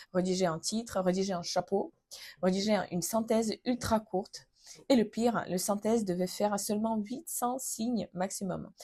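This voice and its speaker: A woman speaks at medium pitch and a moderate pace with ordinary pitch variation. The recording is very clean, with a silent background. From Ukraine. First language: Ukrainian or Russian (speaking French). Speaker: vlogger. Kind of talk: personal testimony vlog. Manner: hesitant, frequent fillers.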